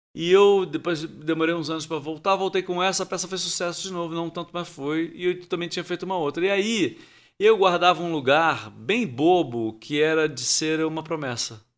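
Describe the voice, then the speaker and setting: A man speaks with a high pitch and hardly any pauses. The recording is very clean, with a silent background. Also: ordinary pitch variation, moderate pace. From Rio de Janeiro, Brazil. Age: 50s. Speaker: actor and theatre director. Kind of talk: casual interview chat. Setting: studio.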